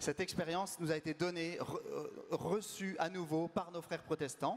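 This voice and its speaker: A man speaks loudly at a high pitch. His pace is moderate and his intonation fairly even. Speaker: community leader hosting event. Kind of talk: event introduction.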